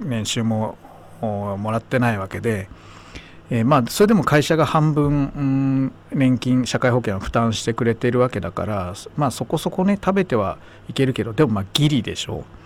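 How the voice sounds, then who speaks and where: Using a plain, everyday voice, a man at a medium pitch talks at a moderate pace with lively intonation. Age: 50s. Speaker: radio host. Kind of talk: casual chat.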